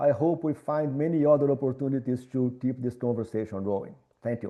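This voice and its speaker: Here a man speaks with a Minas Gerais accent. His pace is moderate and his pitch variation ordinary. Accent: Brazilian (Minas Gerais). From Brazil, Minas Gerais. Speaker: architecture professor. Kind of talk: lecture.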